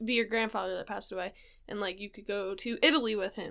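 Her voice carries vocal fry and fairly even intonation. The woman talks at a very fast pace. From Rhode Island. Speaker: podcast co-host. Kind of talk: casual chat.

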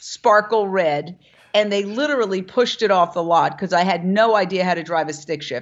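An ordinary speaking voice from a woman with an American accent, medium in pitch, with ordinary pitch variation and a moderate pace. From New York City (Manhattan). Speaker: vegan media founder and former broadcaster. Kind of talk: interview.

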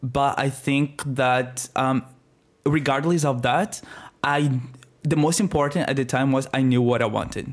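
A man with a Brazilian accent speaks at medium pitch with fairly even intonation. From northeast Brazil. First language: Portuguese. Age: 20s.

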